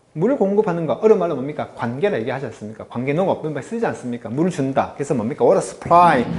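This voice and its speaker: Through noticeable background noise, a man races along at a very fast pace with hardly any pauses and very wide pitch swings. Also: fairly high pitch for a man. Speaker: English teacher. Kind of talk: lecture. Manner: animated.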